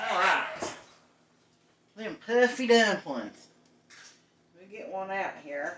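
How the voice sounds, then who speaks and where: In a Southern Appalachian accent, a woman with a medium pitch talks at a very slow pace, with very wide pitch swings, big swings in loudness and long, frequent pauses. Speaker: cooking show host. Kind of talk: live cooking stream chat. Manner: casual.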